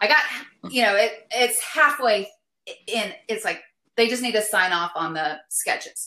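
With a bright, sharp tone, a woman with an American accent speaks at a fairly slow pace and a fairly high pitch. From West Texas, El Paso. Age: 50s. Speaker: visual artist. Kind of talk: casual chat. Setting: remote call.

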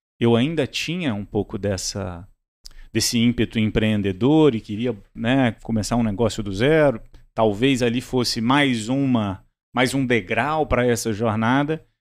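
This man has an ordinary speaking voice at a medium pitch, with ordinary pitch variation and a fairly slow pace, on a very clean recording with a silent background. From Brazil, Minas Gerais and Brasília. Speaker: startup CEO. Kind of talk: interview.

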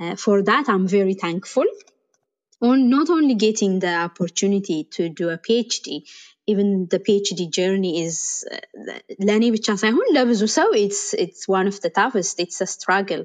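A woman with an Ethiopian accent, medium in pitch with ordinary pitch variation, at a fairly slow pace against a quiet background. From Ethiopia, Bahir Dar. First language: Amharic. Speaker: AI researcher. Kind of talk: interview. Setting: online audio room.

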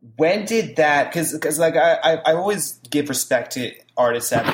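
His voice runs fairly high. He speaks with an American accent. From southern New Jersey. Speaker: podcast host. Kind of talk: casual chat. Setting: remote call. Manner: loud.

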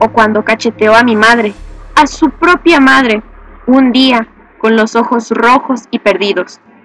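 With music playing in the background, the speaker goes at a fairly slow pace. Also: woman. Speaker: podcast host and narrator. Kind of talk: scripted narration of a horror story, read aloud. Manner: tense, hushed, seething first-person narration, sinister.

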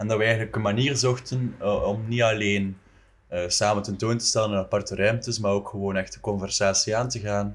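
A man, fairly low in pitch, talks fairly quickly in a monotone, flat intonation, captured on a very clean recording against a silent background. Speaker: visual artist. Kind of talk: casual chat.

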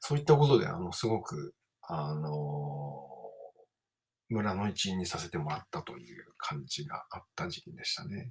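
Speaking at a moderate pace, a man with a very deep, low pitch sounds somewhat breathy, with very wide pitch swings and big swings in loudness. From Japan, Kawasaki. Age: 30s. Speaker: podcaster and musician. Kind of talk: casual monologue.

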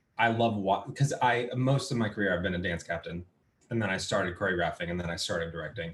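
Somewhat breathy, a man speaks very fast with a fairly low pitch and ordinary pitch variation. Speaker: musical theatre actor. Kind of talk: casual chat. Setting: video call.

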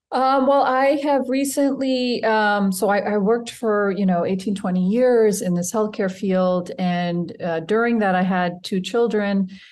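With an American accent and an ordinary speaking voice, a woman talks at a medium pitch and a fairly slow pace, with ordinary pitch variation, very even loudness and hardly any pauses. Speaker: healthcare and nonprofit consultant. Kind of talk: interview. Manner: warm.

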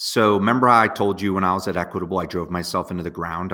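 A man talks with a very deep, low pitch, ordinary pitch variation and a bright, sharp tone. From northwest New Jersey. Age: 40s. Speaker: serial entrepreneur. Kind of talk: interview. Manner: energetic, animated.

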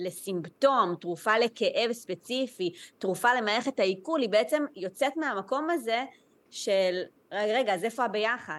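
A woman with an ordinary speaking voice talks at a fairly slow pace and fairly high pitch over a quiet background. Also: lively intonation. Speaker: Chinese medicine practitioner. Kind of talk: interview, casual chat.

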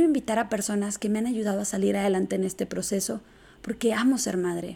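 Speaking with a northern Mexican accent, a woman has a fairly high pitch, a dark, mellow tone and vocal fry. Her pace is fairly quick and her pitch variation is ordinary. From northern Mexico, Chihuahua. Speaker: podcast host, business owner and speaker. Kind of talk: solo podcast monologue. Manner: blunt northern delivery.

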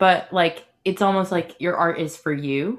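A woman with an unremarkable speaking voice talks at a medium pitch and a fairly slow pace. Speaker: podcast host. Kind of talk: casual interview.

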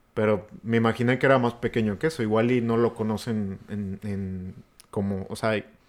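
A man with a Mexican accent, fairly low in pitch, at a moderate pace with fairly even intonation, in a very clean recording with a silent background. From rural Mexico. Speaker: podcast co-host. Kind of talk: casual chat.

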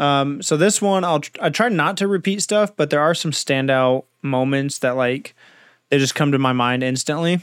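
In a normal speaking voice with an American accent, a man talks at a moderate pace and a fairly high pitch with ordinary pitch variation, on a very clean recording with a silent background. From Southern California. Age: 20s. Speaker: podcast host. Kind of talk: casual interview chat.

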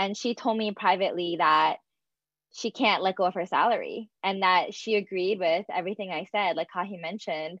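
A woman with an American accent uses an ordinary speaking voice at medium pitch, keeping a fairly quick pace and fairly even intonation. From US Northeast, greater Philadelphia. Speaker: environmental advocate. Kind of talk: live panel discussion. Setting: video call livestream.

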